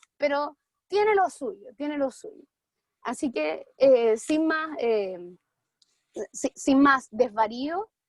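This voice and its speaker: Her voice is high in pitch, with very wide pitch swings and big swings in loudness. The woman speaks with a Chilean accent and leaves long, frequent pauses. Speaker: debate audience speaker. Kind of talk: humorous debate speech.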